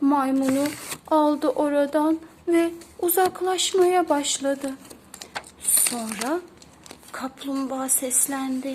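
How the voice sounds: A woman speaks at a high pitch. Her pace is slow. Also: ordinary pitch variation, slightly mellow tone.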